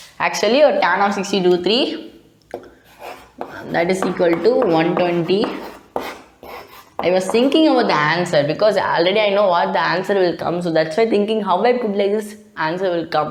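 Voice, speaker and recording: Lively intonation at a moderate pace with long, frequent pauses, plus audible room echo and noticeable background noise. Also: woman, medium pitch for a woman. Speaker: math tutor. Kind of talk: tutorial. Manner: halting.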